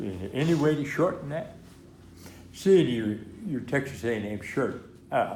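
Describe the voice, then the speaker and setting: A man at a fairly high pitch with very wide pitch swings, a moderate pace, long, frequent pauses and audible room echo. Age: 90s. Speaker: war veteran. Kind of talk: interview. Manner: halting.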